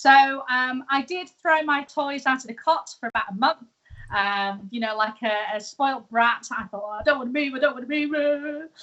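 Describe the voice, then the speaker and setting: A woman with a high voice shows ordinary pitch variation and big swings in loudness. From UK. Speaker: tea business owner turned live-tweeter. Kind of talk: interview. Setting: live stream.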